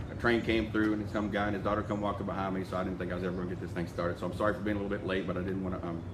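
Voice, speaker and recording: A man speaks very fast with hardly any pauses, in a very deep, low pitch and a monotone, flat intonation, with audible room echo. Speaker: insurance sales team leader. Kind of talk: live video address to sales group.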